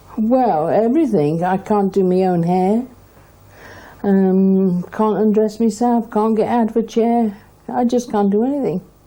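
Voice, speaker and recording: A woman speaks at a fairly high pitch with a dark, mellow tone. Her loudness stays very even, and her pitch varies in an ordinary way. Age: 60s. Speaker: patient. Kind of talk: interview. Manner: halting.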